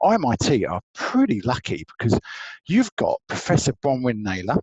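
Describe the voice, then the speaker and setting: The recording is dry and close, without any echo. A man delivers his words at a moderate pace. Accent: English. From England (Essex). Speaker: law lecturer. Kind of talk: online presentation. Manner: lively.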